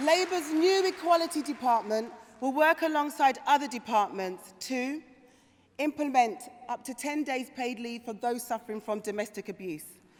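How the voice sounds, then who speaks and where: Over noticeable background noise, a woman talks at a moderate pace in a high pitch, her intonation lively and her loudness swinging widely. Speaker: politician, Labour shadow minister. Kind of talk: political conference speech. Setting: conference hall with audience.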